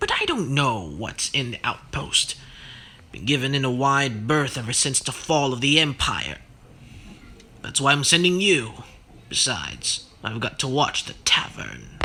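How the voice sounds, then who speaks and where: Using a gravelly, put-on character voice at medium pitch, a man talks at a moderate pace. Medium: read story. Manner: gruff, curt.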